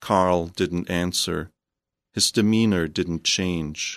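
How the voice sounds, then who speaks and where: A very deep, low-voiced man with a German accent, ordinary pitch variation and a very slow pace against a quiet background. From northern Germany. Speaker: novelist and creative writing professor. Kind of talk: radio interview. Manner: halting, with repeated words.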